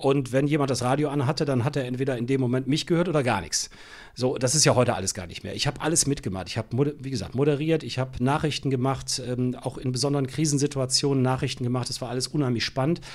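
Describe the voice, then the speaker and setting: His intonation is fairly even. The man speaks very fast. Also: medium pitch for a man. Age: 60s. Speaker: radio editor-in-chief. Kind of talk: interview.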